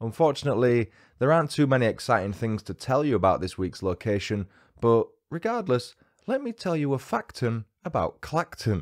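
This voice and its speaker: A man with a British accent at a fairly quick pace against a quiet background. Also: lively intonation. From UK. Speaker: true crime podcaster. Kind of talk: scripted narration. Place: home room. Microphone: studio mic.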